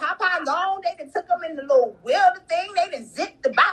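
An animated tone carries through the clip. The voice is raised and projected, with lively intonation. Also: woman. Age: 30s. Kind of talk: testimony.

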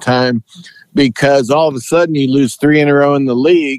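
This man has a fairly high pitch, an ordinary speaking voice, and fairly even intonation. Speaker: sportswriter. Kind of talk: casual sports interview.

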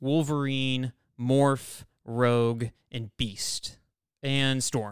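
Speaking at a very slow pace, a man with a medium pitch is heard on a very clean recording with a silent background. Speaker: podcast host. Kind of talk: casual chat. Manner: animated, talkative.

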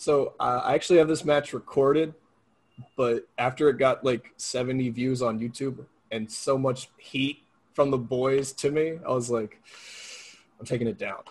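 At a moderate pace, a man speaks at a medium pitch with fairly even intonation and a somewhat breathy quality. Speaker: independent pro wrestler. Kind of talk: casual interview.

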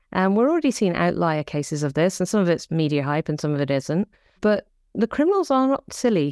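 In an English Midlands accent, a woman talks at a very fast pace in a dark, mellow tone with very wide pitch swings. The sound is dry and close with no echo, over a quiet background. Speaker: cybersecurity startup founder. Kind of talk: interview conversation. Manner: animated.

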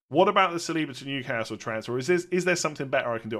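On a very clean recording with a silent background, a man with a British accent speaks at a very fast pace in a fairly high pitch with lively intonation. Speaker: fantasy football content creator. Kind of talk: casual solo podcast talk.

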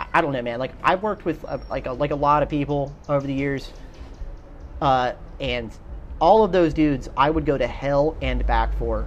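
A man talks with an American accent. Music can be heard behind him. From South Carolina. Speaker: military veteran. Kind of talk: casual chat. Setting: outdoors.

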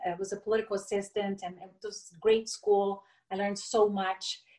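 This woman speaks in a Portuguese accent. Her intonation is monotone and flat. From Brazil, raised in Brasilia. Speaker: entrepreneur, former corporate executive. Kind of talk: interview conversation.

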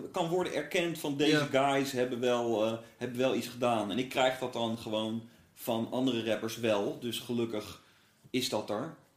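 Moderately paced speech from a man in a mid-range voice, with clear background noise and some audible room echo. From Netherlands, Brabant (born in Gouda). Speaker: rapper. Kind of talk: casual chat. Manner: halting, many fillers.

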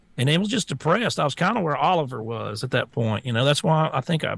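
A man talking at a very fast pace, with lively intonation and a strong Southern US accent, against a quiet background. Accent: strong Southern US twang. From US South. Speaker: talk show co-host and social media personality. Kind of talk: casual talk show chat.

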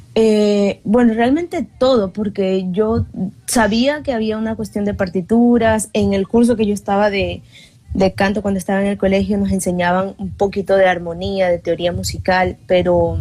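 The woman's voice has a dark, mellow tone at a medium pitch. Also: fairly even intonation, moderate pace. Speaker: singer and journalist. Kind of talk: interview chat.

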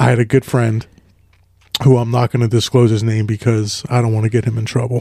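The voice is somewhat breathy and dark and mellow in tone, moving at a fairly quick pace. Its intonation stays monotone and flat, with a dry, close sound and no echo. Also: man, medium pitch for a man. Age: 40s. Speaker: podcast co-host. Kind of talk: casual chat.

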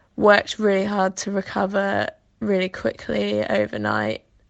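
Against a quiet background, a woman talks with a Welsh accent. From Wales. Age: 20s. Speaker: athlete. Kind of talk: interview.

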